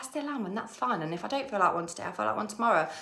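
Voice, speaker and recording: A woman with an English accent speaks with very wide pitch swings. Noticeable background noise runs underneath. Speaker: manifestation coach. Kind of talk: casual vlog talk. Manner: fast; animated.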